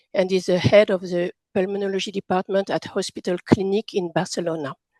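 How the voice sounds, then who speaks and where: With a French accent, a woman talks at a fairly quick pace and medium pitch, her intonation fairly even, in a dry, close sound with no echo. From France. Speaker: patient representative and session chair. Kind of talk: formal introduction.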